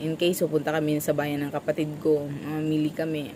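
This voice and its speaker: At a moderate pace, a woman talks with a very deep, low pitch. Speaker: vlogger, small store vendor. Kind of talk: casual vlog chat.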